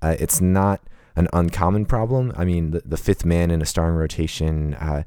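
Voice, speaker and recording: A man with an American accent speaks at a moderate pace in a very deep, low voice with a dark, mellow tone, on a very clean recording with a silent background. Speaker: sports podcast co-host. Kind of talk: casual chat. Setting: podcast recording. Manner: halting, many fillers.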